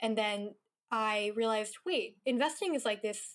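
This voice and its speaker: A Californian accent with ordinary pitch variation. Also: woman. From Northern California. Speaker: venture capitalist. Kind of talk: casual chat.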